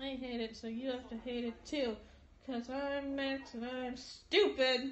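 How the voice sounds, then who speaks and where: A woman speaks at a fairly slow pace in a high voice, her intonation fairly even, with audible room echo. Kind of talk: casual conversation filmed on phone. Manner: loopy, slurred. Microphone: phone near.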